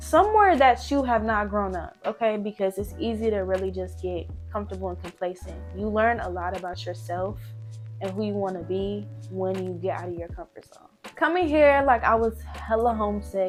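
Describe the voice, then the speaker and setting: Over music in the background, a woman speaks with big swings in loudness. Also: moderate pace. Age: 20s. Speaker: college student and tech intern. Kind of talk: casual talk to camera.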